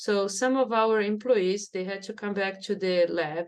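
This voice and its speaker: Against a quiet background, a woman talks with a Brazilian Portuguese accent and fairly even intonation. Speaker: neuroscience professor. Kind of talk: interview.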